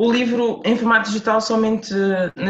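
Fairly even intonation from a woman with a somewhat breathy voice. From Portugal, Lisbon (Amadora). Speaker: author. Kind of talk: interview.

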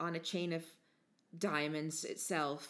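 A woman with a fairly low pitch speaks in an American accent. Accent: fluctuating, hard-to-place American. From United States. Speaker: podcast host.

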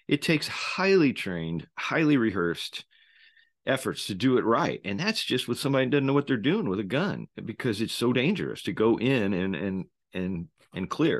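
Speaking at a moderate pace with vocal fry, a man at medium pitch makes very wide pitch swings, recorded with a dry, close sound with no echo against a quiet background. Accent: American. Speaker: podcast host, former Navy SEAL. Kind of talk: solo commentary monologue. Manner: halting, many fillers.

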